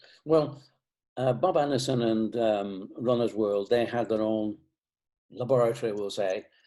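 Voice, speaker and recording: Against a quiet background, a man with a Lancashire accent speaks at a medium pitch in a dark, mellow tone with ordinary pitch variation. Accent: Northern English (Lancashire). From Bolton, England. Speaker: shoe company founder. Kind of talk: interview answer.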